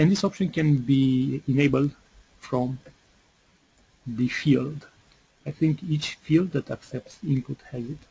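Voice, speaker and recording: A man's fairly high, somewhat breathy voice, dark and mellow in tone, at a fairly slow pace with long, frequent pauses and ordinary pitch variation. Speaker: software developer presenting product webinar. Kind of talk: webinar product demo. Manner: hesitant, many fillers.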